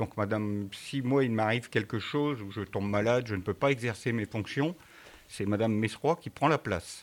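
At a moderate pace, a man speaks in a plain, everyday voice with medium pitch and ordinary pitch variation. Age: 60s. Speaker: mayor. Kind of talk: interview answering schoolchildren.

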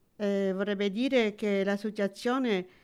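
A woman of medium pitch speaks with fairly even intonation. The recording is very clean, with a silent background. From Sicily, moved to France as child. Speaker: retiree, cultural association member. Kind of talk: interview. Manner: halting.

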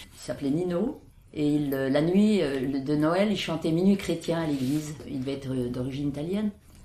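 Noticeable background noise sits behind a woman with a very deep, low pitch who speaks at a moderate pace with ordinary pitch variation. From France, Isère. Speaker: villager recalling childhood. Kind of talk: oral history interview.

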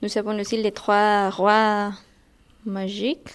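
A woman's fairly high-pitched voice with a Spanish accent. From Guatemala. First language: Spanish (speaking French). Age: 20s. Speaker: language teaching assistant. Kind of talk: interview. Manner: halting.

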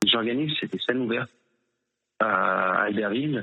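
A man speaks at a very slow pace. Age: 30s. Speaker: slam poet. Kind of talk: interview answers. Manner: halting.

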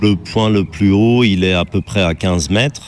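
With fairly even intonation, a man speaks as noticeable background noise carries on behind him. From Germany. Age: 40s. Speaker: tightrope walker. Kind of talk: interview testimony. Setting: outdoors.

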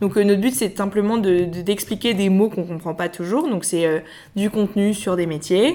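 A woman speaks in a normal speaking voice at a medium pitch, with ordinary pitch variation. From Paris, France. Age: 20s. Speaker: podcast co-founder. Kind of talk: interview.

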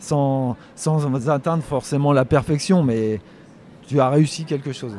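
A man's fairly high voice, dark and mellow in tone, at a moderate pace. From France, Poitou (rural). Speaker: wildlife photographer. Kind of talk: interview by schoolchildren. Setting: photography festival.

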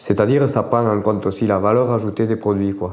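A man talks at a fairly quick pace with fairly even intonation and a fairly low pitch, over noticeable background noise. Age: 50s. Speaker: farmer. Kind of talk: interview.

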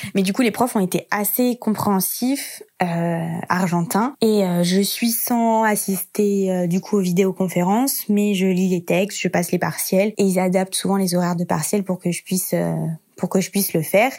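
A woman speaks at a medium pitch with a dark, mellow tone. Her pace is moderate, her intonation fairly even, and her loudness very even. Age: 20s. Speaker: university student. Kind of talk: casual chat.

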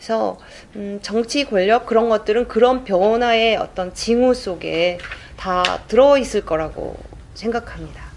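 A woman with a plain, everyday voice, a fairly high pitch, ordinary pitch variation and a fairly slow pace. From South Korea, Gwangju area. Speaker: crime novelist. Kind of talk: interview answers at a book event. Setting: room with live audience, no sound system.

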